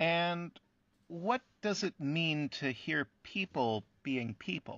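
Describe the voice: A man puts on a character voice, pitched fairly high for a man, with a fairly bright tone, lively intonation and a slow pace.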